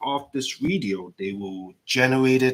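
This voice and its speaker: In an animated tone, a man speaks with a non-native accent. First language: not English. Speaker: permanent makeup artist and instructor. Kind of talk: live stream demo chat. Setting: live stream. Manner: animated, repetitive.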